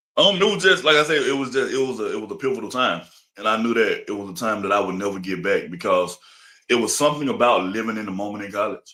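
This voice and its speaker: Very fast and with very wide pitch swings, a man speaks at a medium pitch in a bright, sharp tone on a very clean recording with a silent background. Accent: Alabama. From Alabama. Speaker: interview guest. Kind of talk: casual interview.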